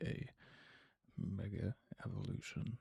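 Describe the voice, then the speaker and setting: A whispering voice with vocal fry comes through a dry, close sound with no echo. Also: man. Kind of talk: ASMR card unboxing. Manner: whispered.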